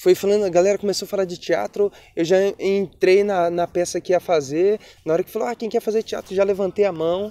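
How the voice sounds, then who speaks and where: A man talks at a fairly quick pace in a high, dark, mellow voice with fairly even intonation, the sound dry and close with no echo. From Brazil, Espírito Santo (rural Linhares). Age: 20s. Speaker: poet and actor. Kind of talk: documentary interview, personal life story. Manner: casual, conversational.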